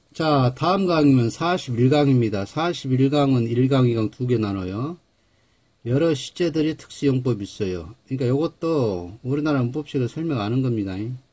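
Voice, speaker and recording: With lively intonation and a dark, mellow tone, a man talks at a moderate pace in a somewhat breathy voice. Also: medium pitch for a man. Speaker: English grammar teacher. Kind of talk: lecture. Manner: halting, self-described awkward speech.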